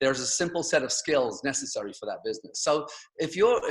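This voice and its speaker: A man with an English accent, high-pitched and at a fairly quick pace. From England. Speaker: network marketing speaker. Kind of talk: motivational talk on video call. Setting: video call.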